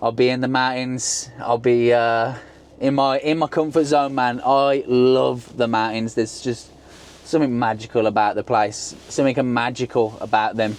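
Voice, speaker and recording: A man with a Birmingham accent speaks at a medium pitch and moderate pace, with fairly even intonation and very even loudness. Noticeable background noise is present. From England, Birmingham. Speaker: travel vlogger. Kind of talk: casual vlog narration.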